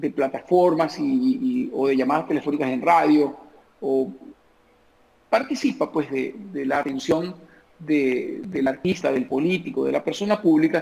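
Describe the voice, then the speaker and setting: Here is a man with a fairly high pitch and very wide pitch swings. He speaks at a fairly slow pace. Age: 50s. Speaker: comedian. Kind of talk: interview answer.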